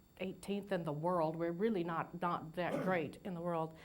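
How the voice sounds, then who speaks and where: Fairly even intonation from a woman at a moderate pace, with audible room echo. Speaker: nursing professor and registered nurse. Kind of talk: lecture. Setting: lecture hall with audience, PA system. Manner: halting, many fillers.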